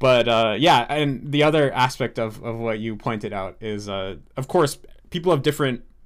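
Using ordinary pitch variation, a man with an American accent talks at a medium pitch. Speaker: language learning YouTuber. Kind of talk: interview conversation. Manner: casual, with fillers and restarts.

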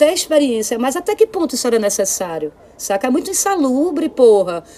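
Someone speaks at a moderate pace with very wide pitch swings, against noticeable background noise. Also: woman. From Brazil, Olinda (Pernambuco). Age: 40s. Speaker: singer-songwriter and visual artist. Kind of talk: casual chat. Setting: home studio, remote recording.

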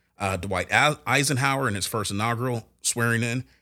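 Pitch variation stays ordinary in this natural reading voice.

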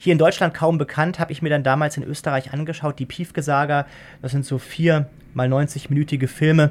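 A man with a fairly high pitch talks at a fairly quick pace in a monotone, flat intonation on a very clean recording with a silent background. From Germany. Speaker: law professor. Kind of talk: interview.

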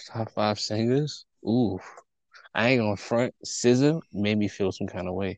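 With a normal speaking voice, a man talks at a fairly slow pace with a fairly low pitch and ordinary pitch variation, the sound dry and close with no echo. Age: 20s. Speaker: podcast co-host. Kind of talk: casual chat.

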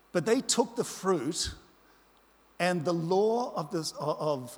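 Very slowly and with lively intonation, a man with an Australian accent speaks at a high pitch. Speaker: pastor. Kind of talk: sermon. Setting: church.

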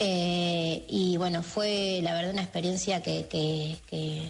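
A woman speaks at a very slow pace with a medium pitch. The room echo is audible. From Argentina, Mar del Plata. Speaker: pianist and arranger. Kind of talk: interview. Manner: hesitant, many fillers.

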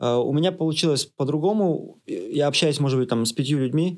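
A man talks fairly quickly in an unremarkable speaking voice, his pitch varying in an ordinary way. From Russia. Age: 30s. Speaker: IT product manager. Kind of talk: interview.

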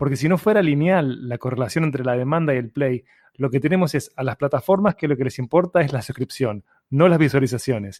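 Speaking with a Uruguayan accent, a man talks at a fairly high pitch. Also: ordinary pitch variation, fairly quick pace, dry, close sound with no echo. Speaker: podcast host. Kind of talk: interview.

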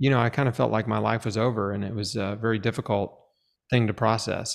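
A man with a plain, everyday voice speaks at a fairly quick pace, fairly low-pitched, with fairly even intonation. The recording is very clean, with a silent background. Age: 40s. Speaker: cancer survivor and author. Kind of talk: interview testimony.

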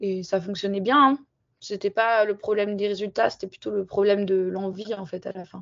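At a moderate pace, a woman speaks at a medium pitch with fairly even intonation and big swings in loudness. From southern French Alps (Barcelonnette). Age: 20s. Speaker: freeride skier. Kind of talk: interview. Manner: casual, hesitant with fillers.

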